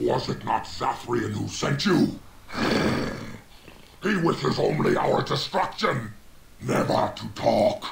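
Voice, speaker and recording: A man's put-on character voice at a fairly slow pace over clear background noise. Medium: machinima. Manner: grave, menacing.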